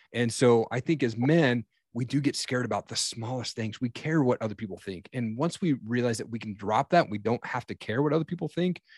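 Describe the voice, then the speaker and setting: At a fairly quick pace with hardly any pauses, a man has an unremarkable speaking voice, a medium pitch and ordinary pitch variation. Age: 40s. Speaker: podcaster and coach. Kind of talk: casual interview. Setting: podcast recording.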